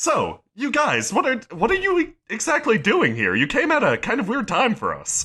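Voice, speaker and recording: Putting on a character voice with an extremely high pitch, a man speaks at a moderate pace with hardly any pauses. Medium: actual play. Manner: casual, hesitant filler words.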